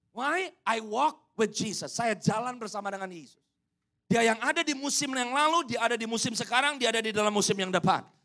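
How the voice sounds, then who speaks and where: A bright, sharp, animated voice, raised and projected. It moves at a fairly quick pace with ordinary pitch variation. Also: man, extremely high pitch for a man. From Indonesia. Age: 30s. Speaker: pastor. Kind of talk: sermon.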